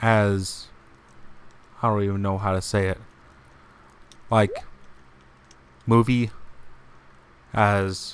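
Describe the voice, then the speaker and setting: The delivery is very slow and monotone, with flat intonation. Long, frequent pauses break it up. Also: man, fairly low pitch for a man. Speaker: game streamer. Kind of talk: casual gameplay stream chat. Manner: calm, relaxed.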